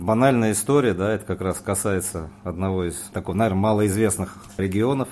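This is a plain, everyday voice from a man with fairly low pitch. He moves at a fairly quick pace with ordinary pitch variation. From Moscow, Russia. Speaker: wine merchant. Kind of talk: casual interview. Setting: studio.

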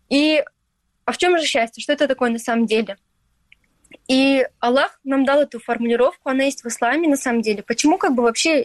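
Delivered at a fairly quick pace with long, frequent pauses, the speech has ordinary pitch variation and very even loudness, in a dry, close sound with no echo. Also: woman, high pitch for a woman. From Crimea, Stary Krym. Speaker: influencer. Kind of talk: interview.

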